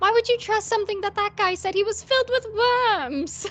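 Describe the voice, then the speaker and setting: A squeaky, put-on character voice talks at a moderate pace with ordinary pitch variation. Background noise is clearly audible. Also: woman, extremely high pitch for a woman. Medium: actual play. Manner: wry, joking.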